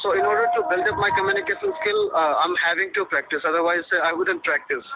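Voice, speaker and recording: Someone with an Indian accent speaks very fast at a very even loudness, with noticeable background noise. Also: man. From Haryana, northern India. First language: Hindi. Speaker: office worker, English learner. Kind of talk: interview. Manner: fluent, confident.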